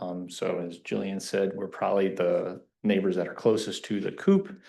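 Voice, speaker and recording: This man has an American accent and a fairly low pitch. Audible room echo surrounds his voice. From Kentucky, US South. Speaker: resident speaking at public comment. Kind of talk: public comment at council meeting. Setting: township council meeting.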